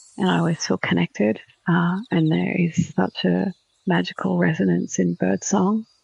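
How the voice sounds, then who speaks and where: A woman speaks with an Australian accent at very even loudness. The sound is dry and close, with no echo. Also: moderate pace. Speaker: spiritual podcast host. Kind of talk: casual monologue. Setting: outdoors on a balcony. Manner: quiet, soft-spoken.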